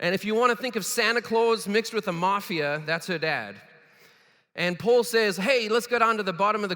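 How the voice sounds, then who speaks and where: A man with a South African accent, animated and fairly quick, his raised, projected voice bright and sharp in tone. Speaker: keynote speaker. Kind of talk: keynote speech. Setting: stage with audience. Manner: fast.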